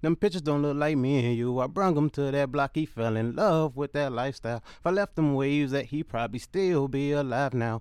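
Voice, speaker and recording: A man talks in an unremarkable speaking voice with a fairly high pitch, at a fairly quick pace with hardly any pauses. The background is quiet. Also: ordinary pitch variation. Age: 20s. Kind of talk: spoken word poetry, hard-hitting with repeated hook. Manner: intense, rhythmic, pained, street-inflected flow.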